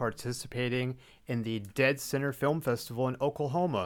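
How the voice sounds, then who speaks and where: A man speaks with a Texan accent. His pitch variation is ordinary. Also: very clean recording, silent background. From Texas. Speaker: film podcast host. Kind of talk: casual chat.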